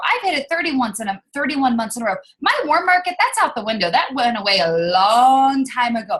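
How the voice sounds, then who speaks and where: A high-pitched woman at a very fast pace, with very wide pitch swings. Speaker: network marketing team leader. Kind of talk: team video call. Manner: casual, energetic.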